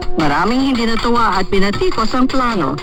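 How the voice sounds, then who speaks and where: The speech goes at a fairly quick clip, and noticeable noise sits behind it. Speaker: radio broadcast narrator. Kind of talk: shortwave radio feature narration. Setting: shortwave radio broadcast.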